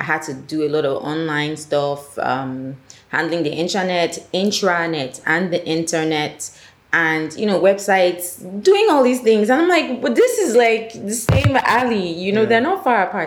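A woman talks at a moderate pace with a Nigerian accent. Her pitch is fairly low, and her intonation is lively. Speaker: filmmaker and producer. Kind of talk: casual chat.

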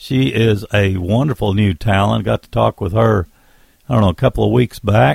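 A man's fairly low, somewhat breathy voice, relaxed in tone, at a moderate pace. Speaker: radio host. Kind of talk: radio DJ patter introducing new bluegrass singles between songs. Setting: radio studio broadcast. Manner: relaxed, folksy, rambling, with frequent filler 'uh' and 'let's see'; warm, enthusiastic, laid-back, easygoing.

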